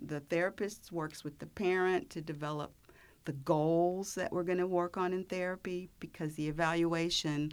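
A woman speaks fairly slowly in an ordinary speaking voice, fairly low in pitch with ordinary pitch variation. The recording is very clean, with a silent background. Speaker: speech pathologist. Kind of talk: informative interview.

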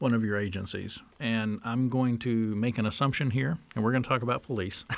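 The recording is very clean, with a silent background. A man talks at a medium pitch and a moderate pace. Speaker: podcast host. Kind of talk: interview, professional.

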